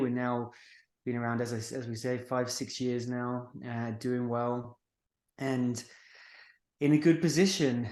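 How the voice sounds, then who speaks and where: A man with a British accent speaks at medium pitch and a moderate pace, with fairly even intonation. He leaves long, frequent pauses against a quiet background. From United Kingdom. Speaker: marketing agency founder. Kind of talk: podcast interview.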